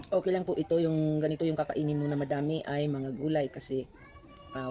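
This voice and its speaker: Fairly even intonation marks this very fast delivery. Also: woman. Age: old. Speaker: food vlogger. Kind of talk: mukbang vlog. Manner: eating while talking.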